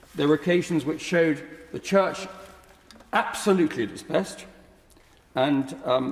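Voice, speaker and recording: A man with an English accent speaks at a fairly high pitch with very wide pitch swings. Noticeable background noise is present. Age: 70s. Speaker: peer in parliamentary debate. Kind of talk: parliamentary speech. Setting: House of Lords chamber. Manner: formal.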